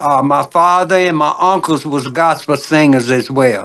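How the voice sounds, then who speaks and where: Very slowly and with fairly even intonation, a man with a Southern US accent speaks at a fairly high pitch. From US South, Birmingham, Alabama. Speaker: gospel singer. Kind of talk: interview. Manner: halting, repeats words.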